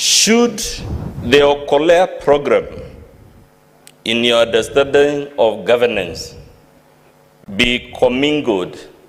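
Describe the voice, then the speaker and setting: A man talks at a very slow pace with long, frequent pauses and very wide pitch swings. His pitch is fairly high, and there is noticeable background noise. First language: not English. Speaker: lawyer cross-examining witness. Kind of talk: cross-examination at impeachment hearing. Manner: formal.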